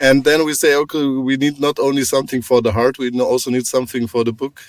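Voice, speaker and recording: A man with a German accent talks at a fairly quick pace in a medium pitch. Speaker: podcast host. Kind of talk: interview.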